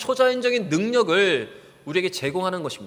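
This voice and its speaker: At a fairly quick pace, a man talks in a high-pitched voice. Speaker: pastor. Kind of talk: sermon. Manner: fast.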